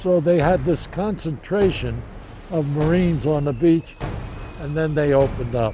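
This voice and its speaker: A man's fairly high voice at a moderate pace, with ordinary pitch variation and noticeable background noise. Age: 80s+. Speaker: war veteran. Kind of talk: interview answer.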